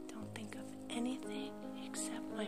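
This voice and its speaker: There is loud background noise. Through it, a woman can be heard speaking. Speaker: pet owner and animal channel host. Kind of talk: ASMR sleep guidance with soft talking. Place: home room. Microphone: phone near.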